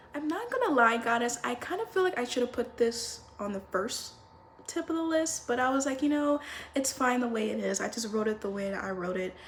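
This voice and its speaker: Over noticeable background noise, a woman speaks in a high voice. She talks fairly quickly with lively intonation. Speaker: lifestyle and self-help vlogger. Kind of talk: casual advice monologue to camera. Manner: slurs words; animated, informal.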